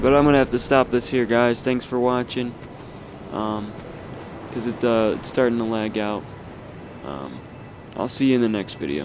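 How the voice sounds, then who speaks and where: There is noticeable background noise as a man at a medium pitch talks with ordinary pitch variation and long, frequent pauses. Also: moderate pace. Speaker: gaming YouTuber. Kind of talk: gameplay walkthrough commentary. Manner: halting, many fillers.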